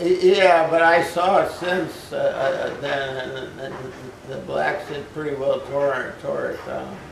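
A man speaks at a very slow pace, his loudness swinging widely. Noticeable background noise sits behind him. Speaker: interviewee. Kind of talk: interview answer. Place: home room. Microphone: camera far.

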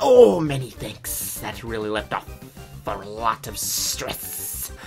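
A man puts on a character voice at a fairly low pitch and a very slow pace, with hissing and clear music in the background. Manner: relieved.

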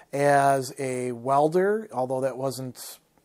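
A man speaks very slowly over a quiet background. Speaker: storyteller. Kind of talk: personal storytelling monologue. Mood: warm, reflective. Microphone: lapel.

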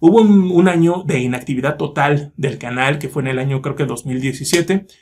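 A confident, somewhat breathy man at a fairly high pitch, with ordinary pitch variation and a fairly slow pace. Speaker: YouTuber, metal music reviewer. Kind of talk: casual vlog monologue. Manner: fluent, confident. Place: home room. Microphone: phone near.

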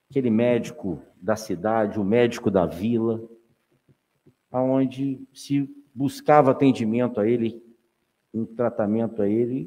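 With long, frequent pauses, a man speaks in a dark, mellow tone and ordinary pitch variation. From Valença area, Rio de Janeiro state, Brazil; Rio de Janeiro state, Brazil. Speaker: city councilman. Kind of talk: legislative session speech. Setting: council chamber. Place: hall. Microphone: podium.

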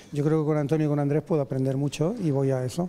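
A fairly high male voice with fairly even intonation. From Alicante, Spain. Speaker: painter, course participant. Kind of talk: casual interview. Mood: warm, enthusiastic. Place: hall. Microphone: handheld.

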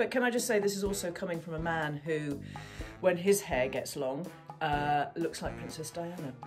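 Against clear background music, a woman speaks at a moderate pace in a very deep, low voice. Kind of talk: casual recorded message. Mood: dry, playful humour. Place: home room. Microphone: phone near.

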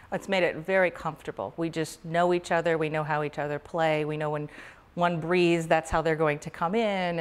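In an American accent, a woman with a fairly low pitch speaks at a moderate pace with ordinary pitch variation. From Oklahoma (Tulsa). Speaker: clarinetist and music professor. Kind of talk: interview. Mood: warm, calm. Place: empty room.

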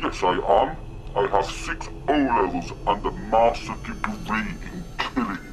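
A man performs a put-on character voice over loud background noise. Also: fairly slow pace. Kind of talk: acted character line. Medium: comedy sketch. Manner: mock-menacing, clumsy. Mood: indignant.

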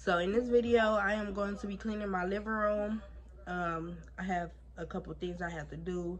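A woman speaks at a fairly slow pace. Background noise is noticeable. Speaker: home vlogger. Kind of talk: casual vlog chat. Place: home room. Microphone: phone near.

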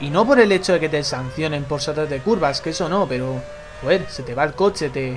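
A man speaks at a moderate pace with a fairly high pitch and ordinary pitch variation. Noticeable background noise runs behind him. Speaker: gaming YouTuber. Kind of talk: gameplay commentary. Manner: animated.

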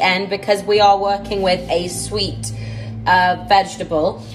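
Faint music sits in the background. A woman talks at a fairly slow pace. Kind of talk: casual cooking tutorial chat. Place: kitchen. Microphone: phone near.

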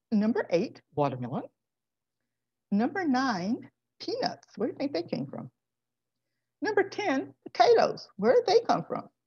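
Over a quiet background, a woman with an American accent speaks at a moderate pace with long, frequent pauses. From Florida. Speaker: guest lecturer on food history. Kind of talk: lecture. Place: home room. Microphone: webcam.

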